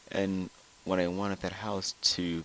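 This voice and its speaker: In a very deep, low voice, a man talks at a fairly slow pace with monotone, flat intonation. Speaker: gaming vlogger. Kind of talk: personal vlog. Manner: halting, repeats words.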